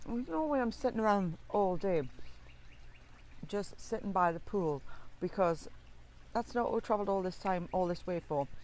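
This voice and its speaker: At a moderate pace, a woman with a Geordie accent speaks at a medium pitch with lively intonation and long, frequent pauses. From northeast England (Tyneside). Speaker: family travel vlogger. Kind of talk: casual vlog narration. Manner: talkative.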